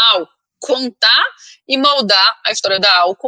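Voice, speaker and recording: Bright, sharp tone in a Pernambuco accent, at a fairly slow pace with ordinary pitch variation and a dry, close sound with no echo. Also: woman. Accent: Northeastern Brazilian (Pernambuco). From Brazilian Northeast, Recife (Pernambuco). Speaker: head of communications / branding specialist. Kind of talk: interview.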